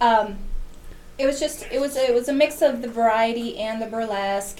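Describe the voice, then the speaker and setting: Audible room echo surrounds a woman whose fairly high voice carries an American accent. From US Midwest, Kenosha, Wisconsin. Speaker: burlesque and variety show producer. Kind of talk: casual interview chat.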